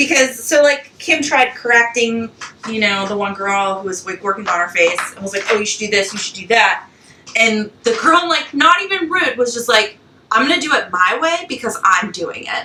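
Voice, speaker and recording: Over music in the background, a woman with a fairly high pitch speaks at a moderate pace, her pitch swinging very widely and her loudness rising and falling in big swings. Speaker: podcast co-host. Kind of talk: casual chat. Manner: animated.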